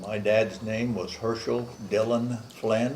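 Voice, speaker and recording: Amid noticeable background noise and audible room echo, a man with an American accent talks very slowly with fairly even intonation. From US Midwest (northern Missouri, rural). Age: 70s. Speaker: grandfather interviewed for family history. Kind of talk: family interview.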